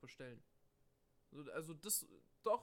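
Speaking at a moderate pace, a man uses a fairly high voice with a bright, sharp tone. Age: 20s. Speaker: podcast co-host, student. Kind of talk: casual chat.

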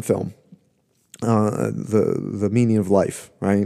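Speaking at a fairly slow pace, a man has a dark, mellow tone. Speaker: podcast host, musicologist. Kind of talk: lecture. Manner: draws out syllables while searching for words.

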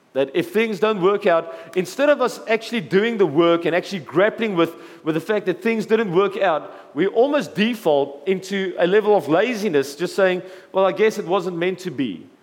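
There is noticeable background noise as a man talks at a moderate pace. His voice is high, with ordinary pitch variation. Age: 40s. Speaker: pastor. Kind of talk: sermon.

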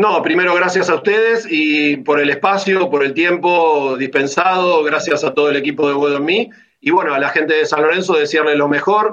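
This man has an ordinary speaking voice, pitched fairly high for a man. He talks at a moderate pace with ordinary pitch variation. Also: hardly any pauses, very even loudness. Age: 50s. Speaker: football club member and opposition club politician. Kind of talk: interview.

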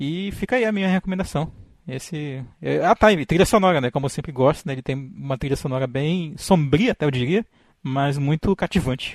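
A man's fairly high-pitched voice, dark and mellow in tone, with lively intonation at a moderate pace, in a dry, close recording with no echo against a quiet background. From Brazil, interior of Amazonas (Tefé). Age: 30s. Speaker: podcaster, biologist with a doctorate. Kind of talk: casual chat.

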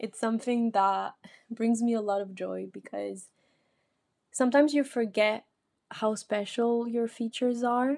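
Speaking with a French accent, a woman uses a fairly high pitch, a dark, mellow tone and ordinary pitch variation. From France, south-west (Paris region, Biarritz). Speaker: podcaster. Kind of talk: personal monologue.

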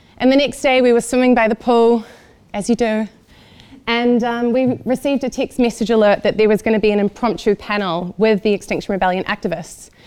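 A woman with a New Zealand accent speaks fairly quickly, with very even loudness and fairly even intonation. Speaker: event organizer. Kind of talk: talk to audience.

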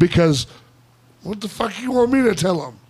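The speaker has an American accent. Background noise is noticeable. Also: man. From US South. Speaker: podcast host. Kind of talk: casual chat. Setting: studio. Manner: loud.

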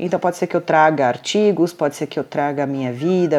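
A woman talks at a fairly quick pace, with ordinary pitch variation. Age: 40s. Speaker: podcast host, nurse and diabetes blogger. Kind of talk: casual monologue.

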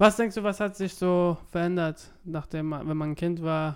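This man speaks at a fairly slow pace. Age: 20s. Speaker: podcast co-host. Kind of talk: casual chat. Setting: recorded separately, voice messages.

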